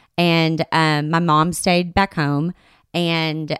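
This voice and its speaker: Recorded very cleanly against a silent background, a woman with a Southern US accent and a fairly low pitch speaks at a very slow pace. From Arkansas, US South. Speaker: podcast guest. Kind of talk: casual chat.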